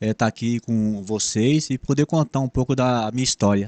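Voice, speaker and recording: Man's fairly slow speech with ordinary pitch variation, dry, close sound with no echo, and a quiet background. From São Paulo city, Brazil. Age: 60s. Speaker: former bus driver. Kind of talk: interview. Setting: podcast. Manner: halting.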